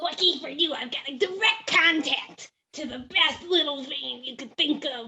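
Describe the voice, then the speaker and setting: In a put-on character voice, the speaker talks at a moderate pace and a high pitch, with hardly any pauses. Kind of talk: comic improv. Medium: game stream. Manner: wheedling, evasive.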